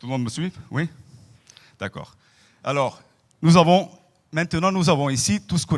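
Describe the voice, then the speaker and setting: With a non-native accent, a man talks at a moderate pace using lively intonation. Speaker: professor. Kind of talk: lecture. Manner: hesitant, with fillers.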